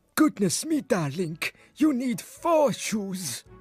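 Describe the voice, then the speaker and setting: A man does a put-on character voice, high-pitched with very wide pitch swings. He talks at a very slow pace over faint music in the background. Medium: read story. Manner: warm, theatrical.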